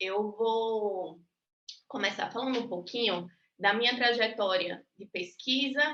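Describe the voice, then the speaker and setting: A woman with a Rio Grande do Norte accent speaks at a fairly slow pace. Her tone is bright and sharp, with ordinary pitch variation. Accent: northeastern Brazilian (potiguar). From Natal, Rio Grande do Norte, Brazil. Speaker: university professor. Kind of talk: lecture.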